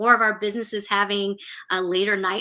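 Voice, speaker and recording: A woman's bright, sharp voice with an American accent, in a very clean recording against a silent background. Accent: slight Southern drawl at times. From California. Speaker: local main street program director. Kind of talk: interview on live stream.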